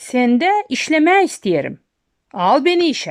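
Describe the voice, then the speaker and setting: A woman uses a put-on character voice, high in pitch with very wide pitch swings, at a fairly slow pace. The recording is very clean, with a silent background. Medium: read story. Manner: sly, good-humored.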